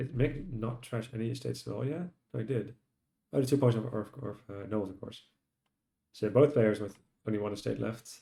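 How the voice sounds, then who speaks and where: The voice has a dark, mellow tone with vocal fry, moving at a fairly quick pace between long, frequent pauses, with big swings in loudness. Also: man, medium pitch for a man, ordinary pitch variation. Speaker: game commentator. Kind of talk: live game commentary.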